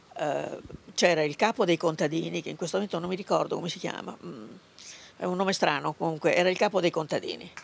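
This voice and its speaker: With vocal fry and fairly even intonation, a woman talks at a very fast pace. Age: 80s+. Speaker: granddaughter of a labour activist. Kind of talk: interview. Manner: halting.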